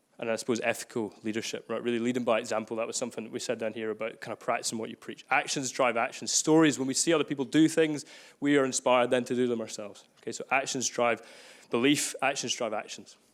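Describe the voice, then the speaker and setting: Over a very clean recording with a silent background, a man with a Glaswegian accent talks at a very fast pace. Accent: Glaswegian Scottish. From Scotland, Glasgow. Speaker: workshop facilitator. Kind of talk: live workshop. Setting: room with live audience. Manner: energetic.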